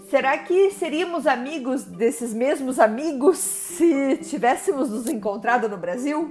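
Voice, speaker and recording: A woman with a Brazilian accent talks at a high pitch with lively intonation. Her pace is fairly slow with hardly any pauses, over noticeable background noise. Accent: Brazilian accent in English, lasting. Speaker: podcast host. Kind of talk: personal monologue podcast. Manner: casual, with hesitations.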